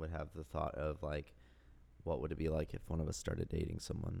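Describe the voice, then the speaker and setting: A man speaks at a very deep, low pitch with an American accent. Vocal fry runs through his voice. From South Carolina. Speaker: podcast co-host, teacher. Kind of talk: casual chat. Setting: home recording with spouse.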